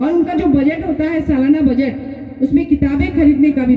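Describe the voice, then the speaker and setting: Over noticeable background noise, a woman with a Bengali accent speaks at a high pitch. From Jharkhand, Ranchi. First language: Bengali (speaking Hindi). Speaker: writer. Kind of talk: public speech.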